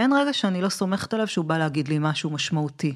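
On a very clean recording with a silent background, a woman speaks at a very fast pace with lively intonation. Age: 40s. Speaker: podcast host. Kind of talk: interview.

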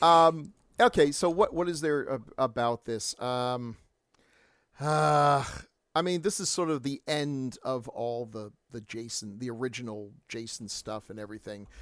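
Using a plain, everyday voice, a man with an American accent speaks at a medium pitch and a fairly slow pace, with lively intonation and big swings in loudness. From New York (Staten Island). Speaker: podcast co-host. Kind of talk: casual chat.

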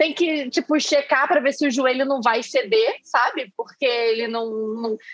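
This woman's voice is high in pitch. She keeps a moderate pace. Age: 30s. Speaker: podcast co-host. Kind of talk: casual chat.

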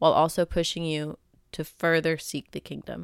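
An unremarkable speaking voice comes at a fairly quick pace. The recording is very clean and dry, with a silent background and a close sound with no echo. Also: woman. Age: 20s. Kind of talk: solo podcast monologue, faith talk.

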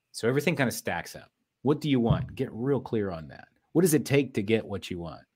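At a very fast pace, a man speaks at a medium pitch with lively intonation and vocal fry. The recording is very clean, with a silent background. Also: big swings in loudness. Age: 40s. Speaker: business consultant and entrepreneur. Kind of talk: interview.

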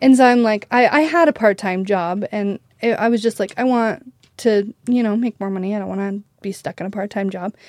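In an ordinary speaking voice with an American accent, a woman talks at a fairly quick pace and fairly high pitch with ordinary pitch variation, and the very clean recording has a dry, close sound with no echo and a silent background. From Idaho, US. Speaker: wedding videographer. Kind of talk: casual interview.

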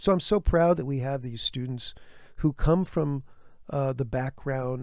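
With ordinary pitch variation, this man's voice sits at a medium pitch. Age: 70s. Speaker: orangutan researcher and conservationist. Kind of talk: casual interview. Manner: halting, many fillers.

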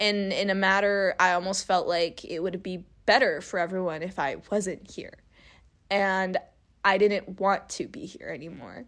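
With an American accent, a normal speaking voice moves at a moderate pace, showing ordinary pitch variation and big swings in loudness. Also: woman, medium pitch for a woman. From California. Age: 20s. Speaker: podcaster. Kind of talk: personal monologue.

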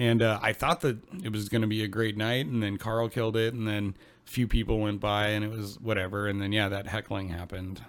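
An ordinary speaking voice from a man, fairly low-pitched and fairly quick, with fairly even intonation on a very clean recording with a silent background. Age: 30s. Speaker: podcast co-host. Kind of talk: casual chat.

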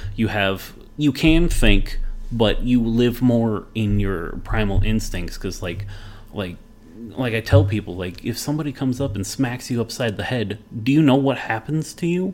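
A man with an American accent, a plain, everyday voice, medium pitch, moderate pace and lively intonation. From Las Vegas, Nevada. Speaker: IT worker. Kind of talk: casual chat.

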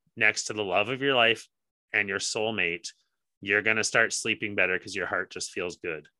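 This is a man with a normal speaking voice, fairly low in pitch. His intonation stays fairly even. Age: 30s. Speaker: podcast co-host. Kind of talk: casual chat.

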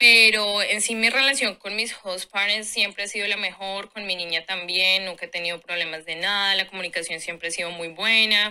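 A woman with a bright, sharp tone speaks at a moderate pace, with fairly even intonation and hardly any pauses. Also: medium pitch for a woman. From Colombia. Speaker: au pair. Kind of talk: casual chat.

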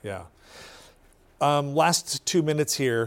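In a very clean recording with a silent background, a man with a plain, everyday voice talks at a moderate pace with lively intonation. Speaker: public TV news host. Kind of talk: hosting a panel discussion. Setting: TV studio.

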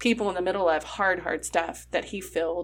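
A woman speaks at a fairly quick pace with a medium pitch. Her voice carries vocal fry. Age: 40s. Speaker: podcast host. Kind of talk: scripted intro; casual chat.

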